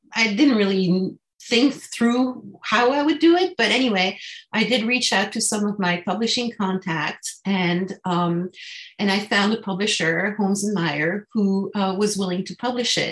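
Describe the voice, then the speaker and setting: A woman's medium-pitched voice with a French accent, ordinary pitch variation and a fairly slow pace. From France, Paris. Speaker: translator, author's daughter. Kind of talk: interview.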